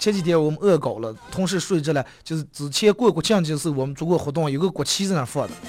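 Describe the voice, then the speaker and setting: A man with a fairly high voice talks very fast and with ordinary pitch variation as music plays in the background. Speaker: radio talk show host. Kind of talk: dialect comedy talk show. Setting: radio studio. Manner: lively, fast-paced.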